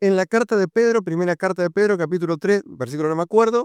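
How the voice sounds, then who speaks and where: At a very fast pace, a man speaks in a high pitch with ordinary pitch variation, in a dry, close sound with no echo and a quiet background. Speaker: preacher. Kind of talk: sermon. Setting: church youth meeting.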